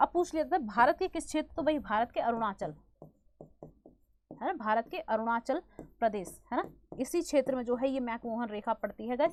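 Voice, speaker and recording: Music sits behind a woman speaking loudly at a moderate pace. Her pitch is high and her intonation lively. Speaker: online exam-prep teacher. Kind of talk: online class lecture.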